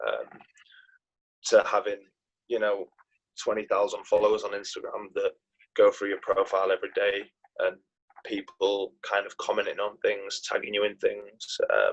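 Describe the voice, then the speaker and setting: A man with a Yorkshire accent speaks at a moderate pace, broken by long, frequent pauses. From northern England, Knaresborough, North Yorkshire. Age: 20s. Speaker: professional footballer. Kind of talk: interview. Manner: hesitant, many fillers.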